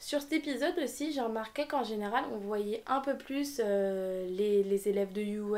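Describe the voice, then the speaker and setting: This woman's voice sits fairly high. She talks at a moderate pace with ordinary pitch variation. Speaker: anime reviewer youtuber. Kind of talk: casual video review. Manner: animated.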